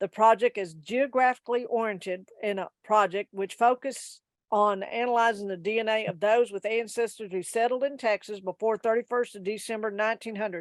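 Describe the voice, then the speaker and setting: A woman talks at a fairly quick pace and fairly high pitch with hardly any pauses. The recording is very clean, with a silent background and a dry, close sound with no echo. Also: fairly even intonation. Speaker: genealogy society presenter. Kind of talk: presentation. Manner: fast.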